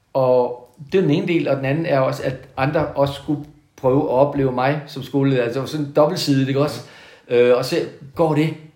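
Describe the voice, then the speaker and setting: A man's fairly high voice with fairly even intonation at a fairly quick pace, with audible room echo. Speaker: retired school principal. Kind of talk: casual interview. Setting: at home in the countryside. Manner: halting, many repetitions.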